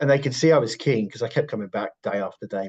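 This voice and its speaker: Speaking very fast with a British accent, a man sounds somewhat breathy, his intonation lively. The background is quiet, and the sound is dry and close with no echo. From UK. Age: 40s. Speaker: professional bodybuilder. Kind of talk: podcast interview.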